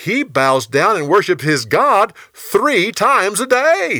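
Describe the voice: A put-on character voice moves at a slow pace in a bright, sharp tone with big pitch swings. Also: man, high pitch for a man.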